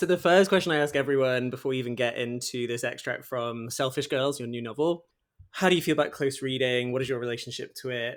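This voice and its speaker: A man with a British accent speaks at a very fast pace and a medium pitch. The recording is very clean, with a silent background. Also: ordinary pitch variation. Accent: regional British. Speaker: podcast host. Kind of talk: interview.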